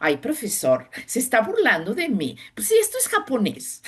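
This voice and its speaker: A woman with a non-native accent speaks fairly slowly, with vocal fry, over a quiet background. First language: not Spanish (speaking Spanish). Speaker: sinologist professor. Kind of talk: interview.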